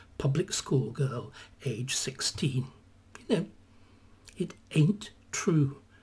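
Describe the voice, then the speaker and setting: A somewhat breathy man at a fairly slow pace, with ordinary pitch variation. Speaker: historian commentator. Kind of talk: commentary. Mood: opinionated, slightly sardonic. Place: home room. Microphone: webcam.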